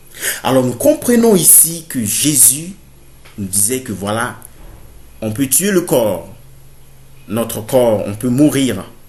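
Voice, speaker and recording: The speech is very slow, with long, frequent pauses and lively intonation. Room echo is audible. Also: man, medium pitch for a man. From Burkina Faso. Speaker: theology student, preacher. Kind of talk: sermon-style bible teaching to camera. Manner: halting, many fillers.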